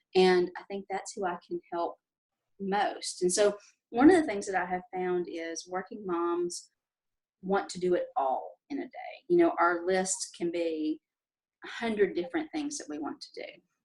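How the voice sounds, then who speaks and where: A woman with a Southern US accent speaks at a moderate pace, her loudness swinging widely. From Tennessee, Nashville. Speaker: life coach. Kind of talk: interview. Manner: hesitant, many fillers.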